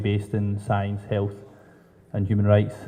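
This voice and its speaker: A man with a Scottish accent speaks at a fairly low pitch. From Scotland. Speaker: drug policy advocate. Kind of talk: panel introduction.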